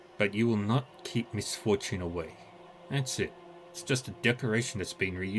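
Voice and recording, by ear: Someone reads aloud in a natural voice, the pitch varying in an ordinary way.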